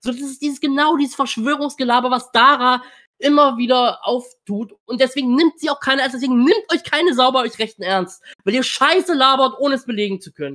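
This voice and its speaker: The voice moves at a fairly quick pace against a quiet background. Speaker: political commentator. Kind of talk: reaction stream commentary. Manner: blunt. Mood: indignant, dismissive. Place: home room.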